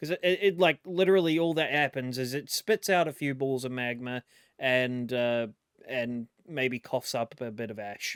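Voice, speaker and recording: Recorded very cleanly against a silent background, with a dry, close sound and no echo, a man speaks at a moderate pace in a medium pitch with ordinary pitch variation. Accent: New Zealand. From New Zealand. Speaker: YouTube reaction commentator. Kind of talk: casual reaction commentary. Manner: casual, hesitant with false starts.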